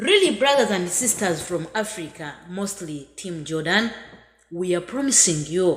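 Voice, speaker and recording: Here a woman speaks with a Ugandan accent. Her pace is fairly slow. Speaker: migrant worker. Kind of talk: video message. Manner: halting.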